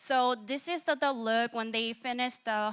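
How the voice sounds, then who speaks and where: A woman with a Korean accent speaks at a fairly slow pace. The recording is very clean with a silent background, dry and close with no echo. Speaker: hackathon participant, UX/UI designer. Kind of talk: pitch presentation. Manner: halting, many fillers and restarts.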